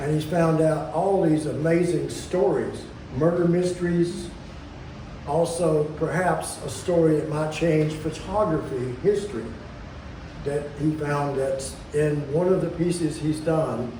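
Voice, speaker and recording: Over noticeable background noise and audible room echo, a man talks fairly slowly at a fairly high pitch with fairly even intonation. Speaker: event organizer of a small press. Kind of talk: event welcome speech. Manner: halting, repeats words; projecting loudly.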